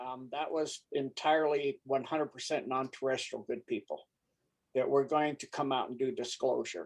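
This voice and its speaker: With a normal speaking voice, a man talks at a moderate pace in a fairly high pitch and fairly even intonation. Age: 60s. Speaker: conspiracy commentator. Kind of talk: casual chat.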